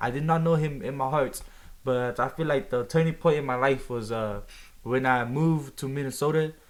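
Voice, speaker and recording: A man talks at a moderate pace with a fairly high pitch and ordinary pitch variation. He has a normal speaking voice. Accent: American. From US Midwest, Omaha, Nebraska. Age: young. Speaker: evangelist. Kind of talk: testimony.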